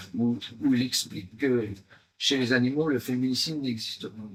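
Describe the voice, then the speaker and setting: His pace is fairly slow. The man's pitch sits in the medium range. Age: 60s. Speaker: stage actor. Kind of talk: promotional interview. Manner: hesitant, many fillers.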